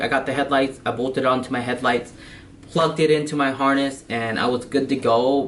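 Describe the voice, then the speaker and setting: Music plays in the background as a man speaks fairly quickly at a fairly high pitch. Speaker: car enthusiast vlogger. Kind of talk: product review. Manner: fast; hesitant, many fillers.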